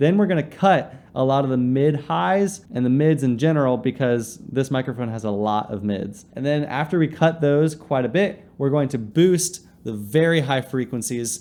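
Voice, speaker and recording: A man with a dark, mellow tone talks at a moderate pace with lively intonation and hardly any pauses. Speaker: YouTube creator. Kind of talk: tutorial.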